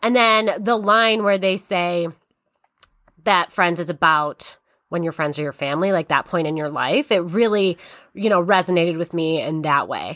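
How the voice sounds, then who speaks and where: In a very clean recording with a silent background, a woman with an American accent speaks in a bright, sharp tone with ordinary pitch variation. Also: fairly low pitch for a woman, moderate pace. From Syracuse, New York. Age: 30s. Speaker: real estate broker. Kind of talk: casual chat.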